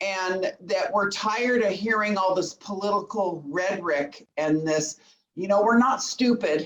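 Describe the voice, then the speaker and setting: Speaking at a fairly slow pace, a woman with a Southern Californian accent has a medium pitch and ordinary pitch variation. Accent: Southern California American. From Woodland Hills, Los Angeles. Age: 60s. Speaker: resident asking a question. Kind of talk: public comment at community meeting. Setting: video call.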